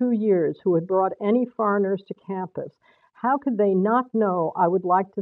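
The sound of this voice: Someone reads in an unforced reading voice, with pitch that varies in an ordinary way.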